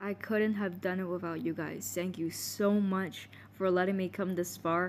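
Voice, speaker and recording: This woman has a medium pitch and a moderate pace. Her intonation stays flat and monotone. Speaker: gacha video creator. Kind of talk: casual voice reveal talk to viewers.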